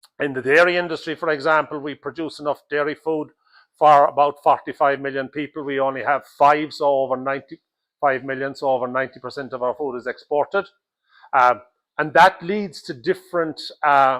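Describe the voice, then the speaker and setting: Speaking fairly quickly with an Irish accent, a man uses a fairly high pitch and fairly even intonation, on a very clean recording with a silent background. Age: 60s. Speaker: dairy farmer. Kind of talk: interview.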